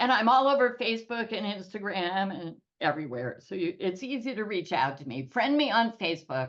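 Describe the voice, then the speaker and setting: A woman with vocal fry talks at a fairly quick pace with hardly any pauses, her medium pitch swinging very widely. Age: 70s. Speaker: financial stress reduction expert and author. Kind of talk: podcast interview.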